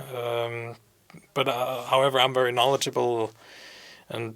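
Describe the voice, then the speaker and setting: On a very clean recording with a silent background, a man speaks at a medium pitch in a flat monotone, his tone bright and sharp. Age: 20s. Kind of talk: interview. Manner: halting, many fillers.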